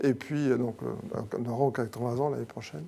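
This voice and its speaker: A man's medium-pitched voice has a dark, mellow tone and ordinary pitch variation. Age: 60s. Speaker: company president. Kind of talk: interview. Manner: hesitant, many fillers.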